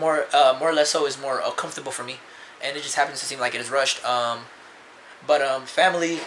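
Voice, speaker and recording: There is noticeable background noise as a man talks at a very fast pace. His intonation is fairly even. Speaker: vlogger. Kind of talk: personal confessional vlog. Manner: halting, many fillers.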